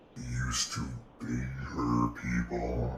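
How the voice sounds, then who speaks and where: A man's put-on character voice, very deep and low in pitch, with monotone, flat intonation over loud background noise. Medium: actual play. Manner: terse, broken grammar.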